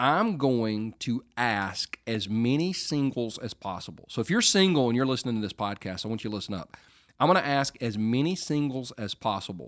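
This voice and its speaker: With an ordinary speaking voice, a man at medium pitch talks at a moderate pace with lively intonation, in a dry, close sound with no echo on a very clean recording with a silent background. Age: 40s. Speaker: pastor and podcast host. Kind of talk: casual talk, teaching on relationships.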